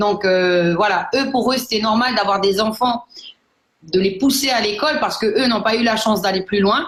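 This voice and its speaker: Ordinary pitch variation in a fairly high-pitched female voice. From New Caledonia. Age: 30s. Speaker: network marketing entrepreneur. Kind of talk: personal testimony. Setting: online live broadcast. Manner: hesitant, many fillers.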